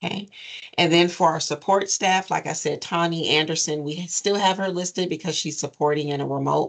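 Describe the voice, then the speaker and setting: A woman uses a normal speaking voice at a moderate pace with fairly even intonation against a quiet background. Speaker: nonprofit program administrator. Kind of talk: advisory meeting presentation.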